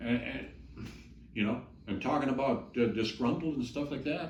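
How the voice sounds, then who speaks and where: Audible room echo follows a man's voice. He speaks at a medium pitch and a moderate pace. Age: 60s. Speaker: ex cult member's husband. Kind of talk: interview testimony. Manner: halting.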